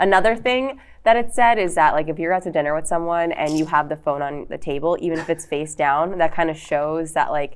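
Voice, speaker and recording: Against a quiet background, a woman with a New York accent talks fairly quickly at a fairly low pitch, with ordinary pitch variation and hardly any pauses. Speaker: comedian and podcaster. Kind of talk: casual chat.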